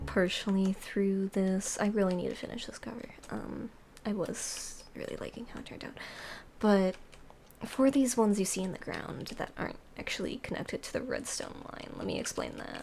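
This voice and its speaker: Whispering at a moderate pace, the speaker makes big swings in loudness. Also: woman. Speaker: Minecraft note block cover maker. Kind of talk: casual tutorial commentary over gameplay. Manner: quiet.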